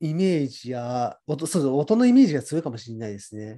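A man's fairly high, dark, mellow voice in a relaxed tone, with very wide pitch swings against a quiet background. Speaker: radio show co-host. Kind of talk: casual radio talk. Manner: relaxed, toned-down energy.

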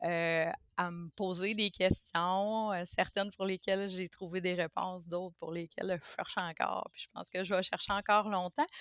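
Speaking at a moderate pace, a woman has a medium pitch and monotone, flat intonation. Her loudness swings widely. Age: 40s. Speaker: podcast guest sharing personal experience. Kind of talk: casual interview conversation. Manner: halting, many hesitations and repetitions.

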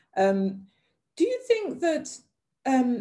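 A woman talks very slowly, her pitch swinging very widely. Her tone is dark and mellow and somewhat breathy. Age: 50s. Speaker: podcast host. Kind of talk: conversational interview. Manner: hesitant, many fillers.

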